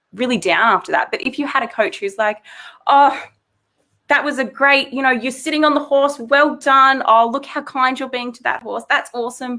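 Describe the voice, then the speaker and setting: Raised and projected, the voice carries a bright, sharp tone and an Australian accent, with big swings in loudness. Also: woman, high pitch for a woman, ordinary pitch variation, moderate pace, very clean recording, silent background. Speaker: psychologist. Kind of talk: interview.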